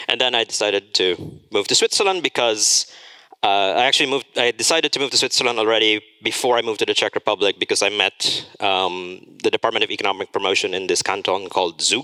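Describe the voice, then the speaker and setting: Speaking very fast with a slight American accent, a man has a fairly low pitch, a bright, sharp tone, ordinary pitch variation and very even loudness, in a dry, close sound with no echo. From Philippines. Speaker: conference speaker. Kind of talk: conference talk. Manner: casual, many filler words.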